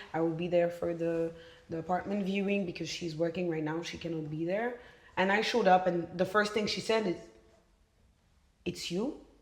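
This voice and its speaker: At a moderate pace, a woman with a Belgian French accent speaks at a fairly low pitch with fairly even intonation and long, frequent pauses. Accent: Belgian French accent when speaking French. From Belgium. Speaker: podcast guest. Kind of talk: casual chat.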